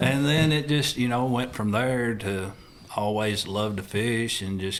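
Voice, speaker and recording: A man with a Southern US accent at a moderate pace. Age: 60s. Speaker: crappie tournament angler. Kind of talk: casual interview.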